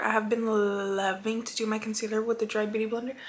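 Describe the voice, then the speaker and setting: A woman speaks at a fairly quick pace in a fairly high, flat monotone. Noticeable background noise runs behind her. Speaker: beauty vlogger. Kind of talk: makeup tutorial.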